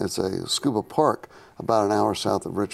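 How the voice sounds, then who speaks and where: This man's intonation has a lively lift. He keeps a moderate pace. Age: 60s. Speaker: scuba diving instructor. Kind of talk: studio interview. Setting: studio. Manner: halting, repeats words.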